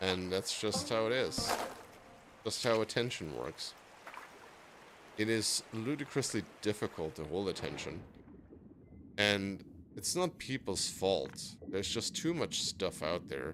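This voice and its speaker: Long, frequent pauses break up a man's fairly slow speech, which sits at a fairly low pitch with vocal fry. His pitch swings very widely. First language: not English. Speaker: gaming streamer. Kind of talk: casual monologue while gaming. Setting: live stream. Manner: hesitant, self-doubting.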